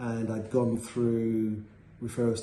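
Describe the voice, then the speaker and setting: A man with a medium pitch talks as noticeable background noise plays behind him. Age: 50s. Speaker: patient. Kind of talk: patient testimonial, interview answer.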